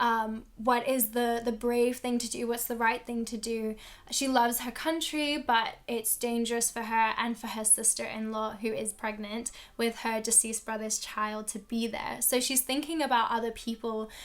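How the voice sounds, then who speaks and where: At a moderate pace, a woman with a fairly high voice speaks in a monotone, flat manner. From London. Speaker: book reviewer. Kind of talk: casual talk to camera.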